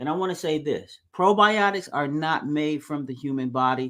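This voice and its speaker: Speaking at a fairly slow pace, a man with a normal speaking voice and fairly high pitch uses lively intonation. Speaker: pastor. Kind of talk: sermon.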